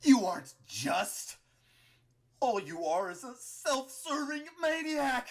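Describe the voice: A put-on character voice moves slowly through big pitch swings.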